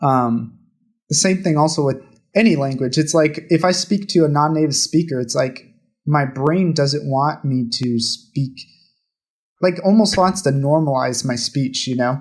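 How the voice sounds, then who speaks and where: A man with an American accent speaks at a fairly slow pace with a fairly high, somewhat breathy voice, ordinary pitch variation and long, frequent pauses. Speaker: podcast co-host. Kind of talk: casual chat.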